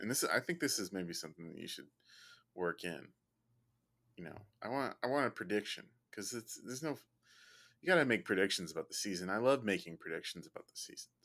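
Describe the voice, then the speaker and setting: Talking very fast with long, frequent pauses, a man with an American accent has a fairly low pitch and a bright, sharp tone. His pitch swings very widely, and the recording is very clean with a silent background. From Chicago. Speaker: fantasy football league member. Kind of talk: casual chat.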